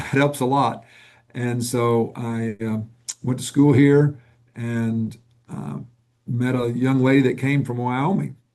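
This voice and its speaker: Speaking with a Southern US accent, a man at a medium pitch moves at a very slow pace with fairly even intonation and long, frequent pauses. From US South, Northwest Arkansas. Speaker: nonprofit executive. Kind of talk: interview.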